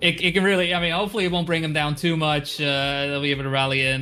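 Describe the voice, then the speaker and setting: With a Dutch accent, a man speaks in a fairly high voice over noticeable background noise. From Netherlands. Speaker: esports caster. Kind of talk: live commentary. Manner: hesitant, many fillers and repeats.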